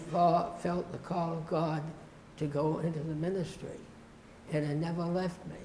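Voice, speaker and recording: Noticeable background noise and audible room echo surround a man with a high voice. He speaks in a flat monotone with long, frequent pauses. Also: moderate pace. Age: 90s. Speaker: retired pastor. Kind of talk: interview. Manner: halting.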